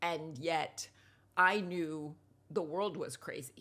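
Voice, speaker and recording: A woman's very deep, low voice with an American accent and ordinary pitch variation. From US, New York. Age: 60s. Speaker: writer and TV producer. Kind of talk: interview conversation.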